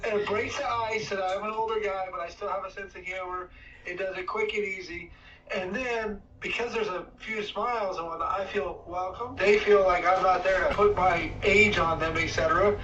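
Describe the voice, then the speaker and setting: Over noticeable background noise and audible room echo, a man with a high pitch speaks in a raised, projected voice at a moderate pace with fairly even intonation. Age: 60s. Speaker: participant, service worker. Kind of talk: casual group chat. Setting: video call.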